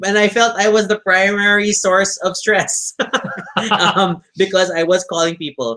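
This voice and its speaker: A man speaks in a raised, projected voice at a fairly slow pace. His pitch is high for a man. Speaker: vlogger. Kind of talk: casual chat.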